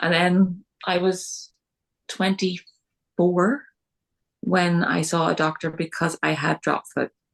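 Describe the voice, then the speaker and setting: Recorded with a dry, close sound and no echo, a woman speaks in a Northern Irish accent at a fairly low pitch. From Northern Ireland. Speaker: podcast guest with multiple sclerosis. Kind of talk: interview.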